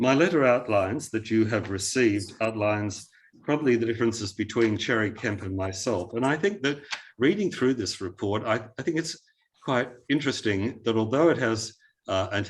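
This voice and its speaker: Speaking with an Australian accent, a man keeps a medium pitch, ordinary pitch variation and a moderate pace. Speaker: heritage consultant. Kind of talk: planning panel submission. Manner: hesitant, many fillers.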